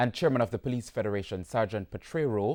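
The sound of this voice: Talking fast, this man has a fairly low pitch, a slightly mellow tone and lively intonation.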